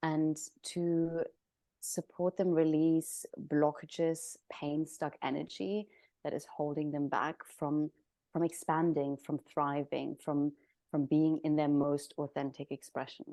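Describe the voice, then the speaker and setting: A woman with a German accent speaks at a very slow pace in a very deep, low pitch, with a dark, mellow tone and monotone, flat intonation. The sound is dry and close with no echo, over a quiet background. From Germany. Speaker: somatic practitioner. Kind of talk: interview.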